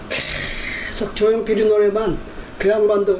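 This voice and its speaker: Noticeable background noise is present throughout. Over it, a man's voice can be heard. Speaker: retired company executive. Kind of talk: oral history interview. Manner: halting.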